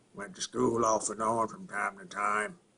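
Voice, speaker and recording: Speaking at a moderate pace, a man puts on a raspy character voice at medium pitch. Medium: solo performance. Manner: slow, halting, punctuated by low grunts.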